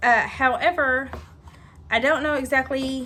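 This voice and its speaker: The voice carries a Southern US accent. Its tone is bright and sharp. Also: woman. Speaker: home cooking video host. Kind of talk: casual cooking tutorial. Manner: chatty, hesitant with many ums.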